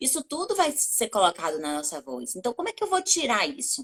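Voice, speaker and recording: A woman races along at a very fast pace with very wide pitch swings, the sound dry and close with no echo. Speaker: communication coach and journalist. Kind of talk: interview.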